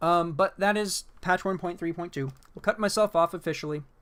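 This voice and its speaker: Here a man talks at a moderate pace. The recording is very clean and the background silent. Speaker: gaming video creator. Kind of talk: casual commentary video. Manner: animated.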